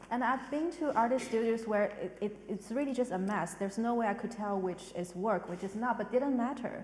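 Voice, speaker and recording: With a non-native accent, a woman talks with hardly any pauses at a fairly high pitch and ordinary pitch variation, over noticeable background noise. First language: not English. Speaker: arts director hosting a panel talk. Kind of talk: panel discussion. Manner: halting, many fillers.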